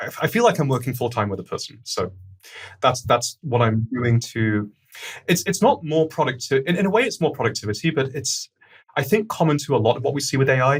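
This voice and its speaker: A man's fairly high voice, lively in intonation and fairly quick, with music in the background. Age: 40s. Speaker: startup founder and CEO. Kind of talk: podcast interview. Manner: fast.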